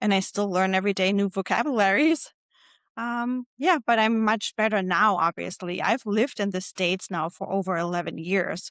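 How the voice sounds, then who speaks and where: A woman with a German accent speaks at a moderate pace and medium pitch with ordinary pitch variation. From Germany. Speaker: podcast host. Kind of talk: solo podcast monologue.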